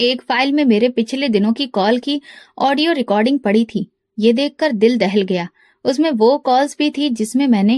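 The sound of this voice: A woman with a fairly high pitch and a slightly mellow tone talks at a moderate pace. Her pitch variation is ordinary, and the sound is dry and close with no echo.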